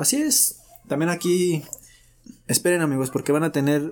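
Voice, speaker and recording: The speaker is a man. His tone is dark and mellow. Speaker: podcast co-host. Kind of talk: casual chat. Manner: animated.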